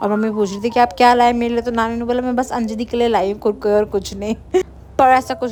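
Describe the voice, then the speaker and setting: Noticeable background noise is present. The voice belongs to a woman. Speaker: vlogger. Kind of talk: travel vlog narration. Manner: casual, chatty, mixes Hindi and English.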